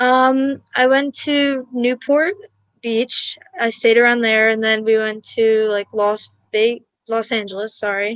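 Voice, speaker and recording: A woman with a fairly high pitch speaks at a very slow pace, her intonation fairly even. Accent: Long Island. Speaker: college student. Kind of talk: casual interview. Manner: hesitant, filler-heavy.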